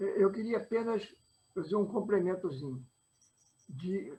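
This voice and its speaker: A man with a high pitch and a dark, mellow tone speaks at a moderate pace, with ordinary pitch variation. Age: 80s+. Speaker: lawyer, participant in spiritist discussion. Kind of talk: panel discussion. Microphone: microphone too quiet.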